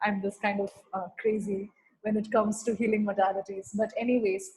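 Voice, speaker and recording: Here a woman speaks at a moderate pace. Her fairly high voice is somewhat breathy. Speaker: spiritual healing facilitator. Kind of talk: online healing session talk.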